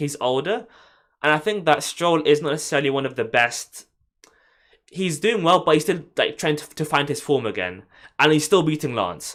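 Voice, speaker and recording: Against a very clean recording and silent background, a man with a London accent talks at a moderate pace in a fairly high voice with vocal fry. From London, England. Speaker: F1 YouTuber. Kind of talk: live stream chat. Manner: stammering.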